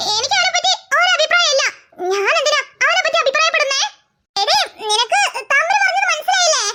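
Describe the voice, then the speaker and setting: A cartoonish character voice at an extremely high pitch and a fairly quick pace. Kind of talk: cartoon character voices.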